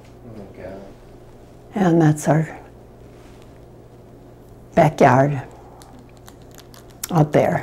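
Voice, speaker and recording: This woman has a Midwestern American accent. Her pitch varies in an ordinary way. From Detroit, Michigan. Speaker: great-grandmother. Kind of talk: interview answer.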